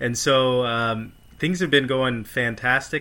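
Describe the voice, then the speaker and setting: A man talks at a fairly slow pace in a normal speaking voice with an American accent. His intonation stays fairly even. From Maryland, near Washington DC. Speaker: facial plastic surgeon. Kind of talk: casual interview.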